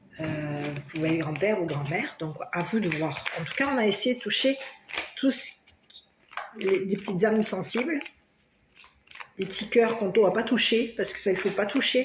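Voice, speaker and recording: With audible room echo, a woman speaks with lively intonation and long, frequent pauses. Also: medium pitch for a woman, moderate pace. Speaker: tarot card reader. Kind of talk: tarot reading for viewers. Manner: loud; hesitant, many fillers.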